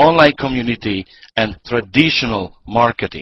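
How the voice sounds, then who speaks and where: A man speaks with a Hungarian accent at a moderate pace. His intonation is lively. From Hungary. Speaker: network marketing presenter. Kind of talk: business presentation. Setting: online webinar call. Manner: hesitant, many fillers.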